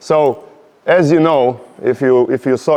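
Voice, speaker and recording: A man with a Slovenian accent and ordinary pitch variation. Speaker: podcast host. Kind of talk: casual interview chat. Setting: warehouse. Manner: halting.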